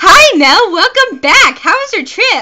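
This put-on character voice is squeaky and extremely high, with very wide pitch swings at a fairly slow pace. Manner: flamboyant.

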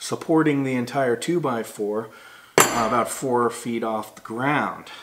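A man speaks very slowly with ordinary pitch variation. Loud background noise runs behind him. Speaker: product reviewer. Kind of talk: product review talk. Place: home room.

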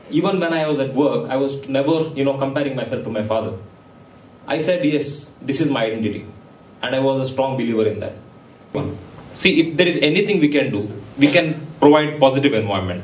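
Speaking at a very fast pace yet with long, frequent pauses, a man uses an animated tone, a fairly high pitch and ordinary pitch variation, with audible room echo. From India. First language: Konkani. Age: young. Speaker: entrepreneur and guest speaker; guest. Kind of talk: motivational talk to students. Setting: stage with audience. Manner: animated, interactive with audience. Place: hall.

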